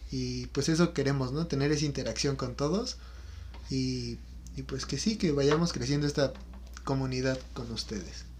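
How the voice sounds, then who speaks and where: This is a man speaking. He has a Mexican accent. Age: 20s. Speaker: podcast co-host, student. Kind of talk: casual chat.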